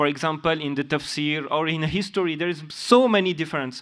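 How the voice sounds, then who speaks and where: On a very clean recording with a silent background, a man speaks in a high pitch with ordinary pitch variation. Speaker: religious student and conference delegate. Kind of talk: question from the floor at a conference. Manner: halting, many hesitations and restarts.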